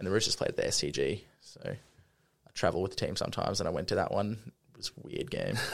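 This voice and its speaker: Hardly any pauses break up a man's very fast speech. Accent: Australian. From Australia, Brisbane. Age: 20s. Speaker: sports club multimedia producer. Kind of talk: casual interview.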